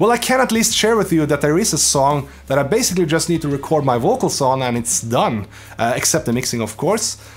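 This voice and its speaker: Pitch swings very widely as a man talks fairly quickly. Behind him, background noise is noticeable. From Norway. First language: Norwegian. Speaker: YouTube musician doing metal covers. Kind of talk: Q&A video, answering viewer questions. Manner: casual, many filler uhs.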